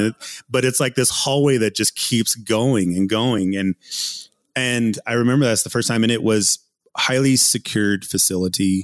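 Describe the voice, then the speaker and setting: A man with an American accent speaks in a plain, everyday voice at a moderate pace. His voice is fairly low with ordinary pitch variation, and the sound is dry and close with no echo. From southwestern Colorado, Ute Mountain Ute Reservation. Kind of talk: interview.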